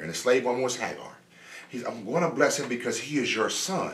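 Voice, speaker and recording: Amid audible room echo, a man speaks very fast in an animated tone with ordinary pitch variation. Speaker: preacher. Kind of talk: sermon. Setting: church. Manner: conversational. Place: home room.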